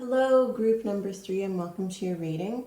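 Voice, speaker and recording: Her voice is dark and mellow, somewhat breathy, and this woman varies her pitch in an ordinary way. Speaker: tarot card reader. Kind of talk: tarot reading monologue. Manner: halting, some stumbles.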